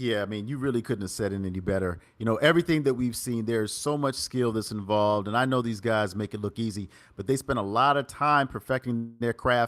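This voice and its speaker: Animated, fairly quick speech in an East Coast US accent with ordinary pitch variation. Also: man, medium pitch for a man. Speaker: esports commentator. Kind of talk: live commentary wrap-up.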